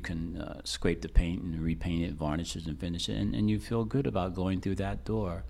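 This man's voice has vocal fry and a dark, mellow tone, pitched very deep and low. He talks at a fairly quick pace, with very wide pitch swings. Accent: American. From Reading, Pennsylvania. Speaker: artist, muralist. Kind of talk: interview. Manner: halting.

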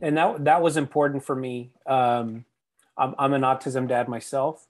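A man with an American accent and a medium pitch speaks at a fairly slow pace with fairly even intonation and long, frequent pauses. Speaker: author. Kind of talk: casual interview chat. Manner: halting, many fillers and repeats.

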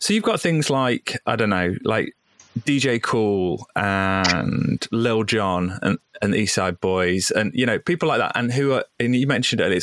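Dry and close with no echo, a man's medium-pitched voice moves at a fairly slow pace with ordinary pitch variation and very even loudness. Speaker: podcast host. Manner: casual, hesitant.

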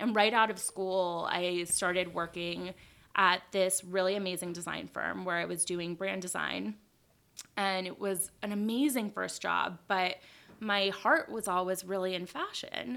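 A woman's medium-pitched voice with an American accent, bright and sharp in tone, fairly slow, with ordinary pitch variation, on a very clean recording over a silent background. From Los Angeles, US West Coast. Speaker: fashion blogger and designer. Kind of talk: casual interview.

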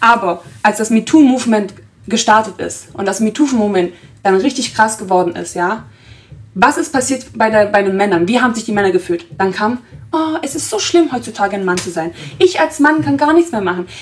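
Noticeable background noise sits behind a woman speaking at a fairly quick pace. Her fairly high voice swings very widely in pitch. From Germany, Italian family. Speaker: podcast host. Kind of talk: casual discussion. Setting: studio.

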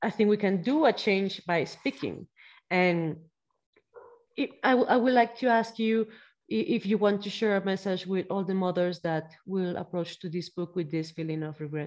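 A woman with a Spanish accent at medium pitch, with ordinary pitch variation. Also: moderate pace. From Mexico. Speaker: podcast host. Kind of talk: interview. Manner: halting.

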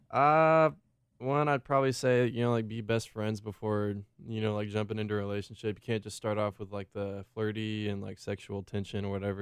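An ordinary speaking voice from a man, fairly low in pitch, with fairly even intonation at a fairly quick pace. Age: young. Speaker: podcast guest. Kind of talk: casual chat.

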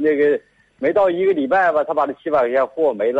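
A man speaks with a Northeastern Chinese accent at a fairly quick pace. His pitch is fairly high, and the sound is dry and close with no echo. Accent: Northeastern Mandarin. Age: 60s. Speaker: farmer, radio caller. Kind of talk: call-in advice conversation. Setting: phone call. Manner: halting, repetitive.

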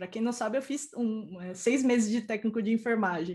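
A woman's plain, everyday voice, fairly high in pitch, with lively intonation over a quiet background. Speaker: IT professional and mentor. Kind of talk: live-stream interview.

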